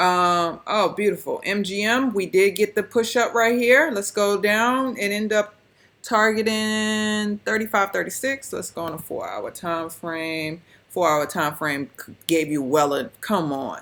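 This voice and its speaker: This woman has a normal speaking voice at a medium pitch. She talks at a fairly slow pace with lively intonation. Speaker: stock trading educator. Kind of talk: screen-share trading recap.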